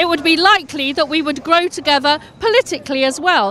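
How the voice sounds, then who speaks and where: Against noticeable background noise, a woman with an extremely high pitch talks fairly quickly with lively intonation. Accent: English. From England. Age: 60s. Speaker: anti-Brexit demonstrator. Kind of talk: street interview. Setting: outdoors at a demonstration.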